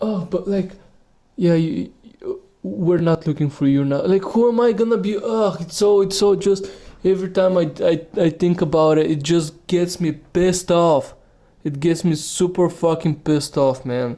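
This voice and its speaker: With a non-native accent, a man talks at a moderate pace in a high pitch, showing a dark, mellow tone and ordinary pitch variation. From Bulgaria. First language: Bulgarian. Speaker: podcaster. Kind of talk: rant. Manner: halting.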